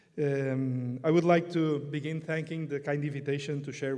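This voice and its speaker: Moving at a fairly quick pace, a man with a Portuguese accent speaks in a fairly high pitch, with a dark, mellow tone and monotone, flat intonation. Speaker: priest and canon law expert. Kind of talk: conference talk.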